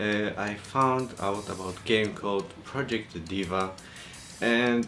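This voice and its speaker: Audible room echo and noticeable background noise around a man speaking with ordinary pitch variation. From Poland. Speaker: vlogger. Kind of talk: vlog monologue.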